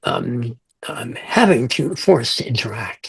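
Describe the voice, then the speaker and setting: Here a man sounds somewhat breathy, with lively intonation. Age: 70s. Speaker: fantasy author. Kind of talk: interview. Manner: halting.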